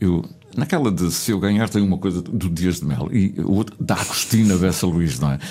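Noticeable background noise sits behind a man with a very deep, low voice. He speaks at a moderate pace with lively intonation. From Azores (São Miguel / Pico). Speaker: radio host. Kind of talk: casual interview. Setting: radio studio.

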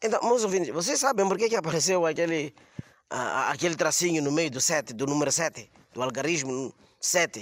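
At a moderate pace, the man talks with a fairly high pitch. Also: lively intonation. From Mozambique. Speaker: comedian. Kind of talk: comedy monologue. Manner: halting.

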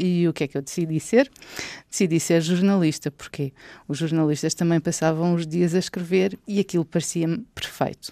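A woman with a European Portuguese accent speaks at a moderate pace and fairly low pitch. Her tone is dark and mellow, on a very clean recording with a silent background. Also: ordinary pitch variation. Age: 40s. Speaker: children's book author and journalist. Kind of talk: personal storytelling for children.

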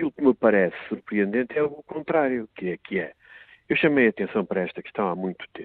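A man with a normal speaking voice delivers his words fairly quickly, his intonation lively. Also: medium pitch for a man. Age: 50s. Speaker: member of parliament, political commentator. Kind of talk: political commentary.

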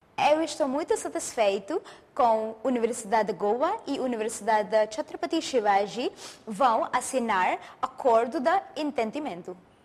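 A woman speaks at a moderate pace with a high pitch and lively intonation. Noticeable background noise sits behind her. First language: Indian language, not Portuguese (speaking Portuguese). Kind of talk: interview.

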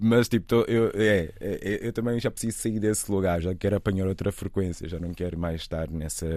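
Hardly pausing, a man speaks in a dark, mellow tone at a fairly low pitch with fairly even intonation. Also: moderate pace, very clean recording, silent background. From Angola. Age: 40s. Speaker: actor. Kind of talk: interview.

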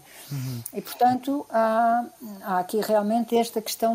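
Somewhat breathy, a woman with a fairly high pitch speaks at a fairly slow pace. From Portugal, Lisbon. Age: 70s. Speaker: biologist and writer. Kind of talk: radio interview.

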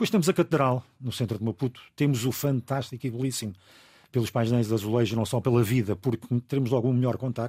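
A man talks at a very fast pace in a medium pitch, with a dark, mellow tone and ordinary pitch variation, somewhat breathy. The sound is dry and close with no echo, a very clean recording over a silent background. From Angola. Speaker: radio broadcaster. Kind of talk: casual chat.

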